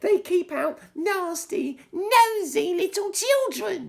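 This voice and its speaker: A man puts on a squeaky character voice, extremely high in pitch. He talks at a very slow pace. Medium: read story. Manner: shrill, venomous.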